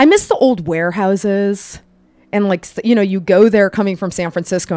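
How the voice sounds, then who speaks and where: An unremarkable speaking voice from a woman with an American accent and ordinary pitch variation. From Ohio, Cleveland area (Parma). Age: 40s. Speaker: coffee shop owner. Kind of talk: casual chat.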